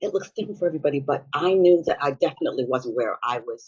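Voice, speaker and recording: Her pitch sits fairly low. The woman talks at a very fast pace. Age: 60s. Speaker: business coach, former nurse. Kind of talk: interview conversation. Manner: halting, with self-corrections.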